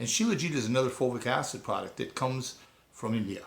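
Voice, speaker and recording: A fairly quick, somewhat breathy delivery with ordinary pitch variation. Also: man. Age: 60s. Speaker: nurse and network marketer. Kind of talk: testimony / sales pitch. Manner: casual, conversational.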